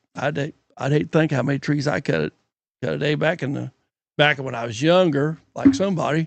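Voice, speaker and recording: A man with a fairly high pitch and vocal fry speaks at a moderate pace. His pitch variation is ordinary, and the sound is dry and close with no echo. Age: 60s. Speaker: retired logger and sawmill worker. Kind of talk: casual chat. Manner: halting.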